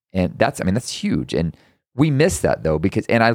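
A man with an American accent and a fairly low pitch makes very wide pitch swings. The recording is very clean with a silent background, dry and close with no echo. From Texas. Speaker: podcast host. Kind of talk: casual chat.

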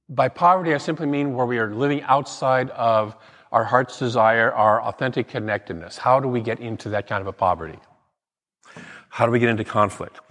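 A man talks at a fairly quick pace in a normal speaking voice. His medium pitch shows ordinary variation. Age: 60s. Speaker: minister. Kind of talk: sermon. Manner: conversational.

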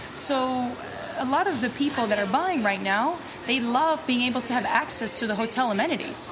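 With noticeable background noise and audible room echo, a woman speaks at a high pitch and a fairly quick pace with lively intonation. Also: very even loudness. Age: 20s. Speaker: real estate agent. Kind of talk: casual interview. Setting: on location in a neighborhood.

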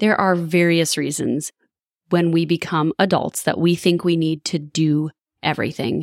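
A woman with an unremarkable speaking voice talks at a moderate pace and a fairly low pitch. The recording is very clean with a silent background and a dry, close sound with no echo. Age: 40s. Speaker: podcast host and wellness coach. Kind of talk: scripted intro and outro; casual interview chat.

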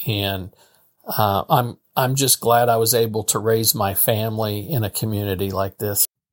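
On a very clean recording with a silent background and a dry, close sound with no echo, a man speaks with a Midwestern American accent. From Missouri, St. Joseph. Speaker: state legislator. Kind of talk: interview. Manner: halting.

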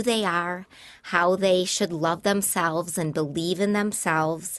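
Over a quiet background, a woman with an American accent speaks at a fairly low pitch with fairly even intonation. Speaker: nonprofit executive director. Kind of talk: casual interview.

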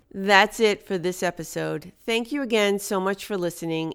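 A woman speaks at a medium pitch with ordinary pitch variation. She has a plain, everyday voice. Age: 50s. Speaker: podcast host and life coach. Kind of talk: motivational monologue.

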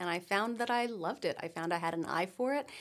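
A woman with an ordinary speaking voice, medium pitch, ordinary pitch variation and a fairly quick pace, on a very clean recording with a silent background. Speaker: singer and graphic designer. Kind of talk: casual chat. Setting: studio.

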